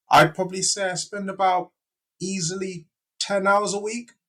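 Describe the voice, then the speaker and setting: A man talks at a fairly slow pace. His fairly high voice has a bright, sharp tone. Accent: British. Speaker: fitness YouTuber. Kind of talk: casual chat.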